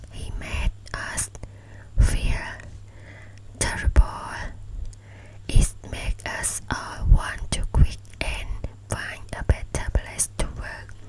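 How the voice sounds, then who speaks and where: A woman whispers at a very slow pace, with long, frequent pauses and big swings in loudness. Noticeable background noise runs underneath. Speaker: ASMR creator. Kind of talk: ASMR book reading. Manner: whispered; soft-spoken.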